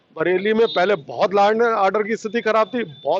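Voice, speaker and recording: Moderately paced speech from a man, set against noticeable background noise. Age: 60s. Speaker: trader association leader. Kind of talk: street interview. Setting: outdoors in a market.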